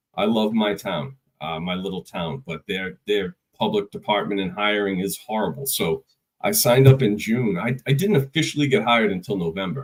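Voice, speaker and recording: In a Boston accent, a man speaks with a fairly low pitch at a moderate pace. His intonation is lively. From Boston area, Massachusetts. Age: 30s. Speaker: construction executive and call firefighter. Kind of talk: casual podcast interview.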